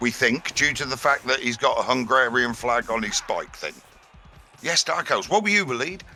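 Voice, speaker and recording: Music plays in the background as a man with an English accent speaks. His pitch is medium, his intonation lively and his pace moderate. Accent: English accent, remarked on by viewer. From central England. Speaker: esports commentator. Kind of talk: live commentary. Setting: online voice call.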